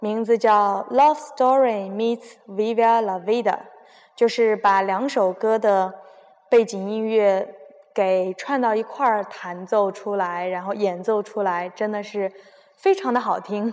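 This woman's pitch is fairly high. She speaks at a very slow pace with fairly even intonation. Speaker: radio host. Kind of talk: casual chat mixed with reading aloud.

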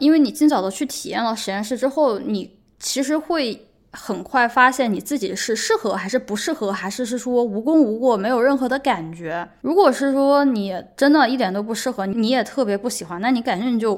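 Lively intonation and a high pitch mark this woman's voice. Her moderate pace comes with hardly any pauses. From China. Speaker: podcast host; PhD student. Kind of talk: solo monologue podcast. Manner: casual, conversational.

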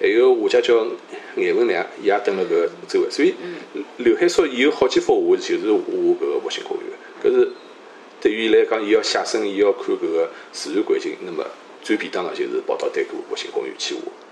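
In a Shanghai accent, a man talks at a fairly quick pace with an extremely high pitch and monotone, flat intonation over noticeable background noise. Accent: native Shanghainese speaker. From Shanghai (Luwan district). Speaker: economist, scholar. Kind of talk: interview conversation.

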